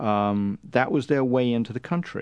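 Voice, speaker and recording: A man in a British accent against a quiet background. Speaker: journalist and author. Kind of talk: interview. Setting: studio.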